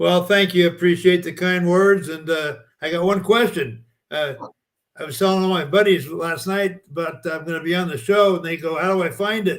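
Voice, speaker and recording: This man's voice sits at a high pitch with ordinary pitch variation. He keeps a moderate pace. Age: 80s+. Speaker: bowling lane maintenance pioneer. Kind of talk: casual chat.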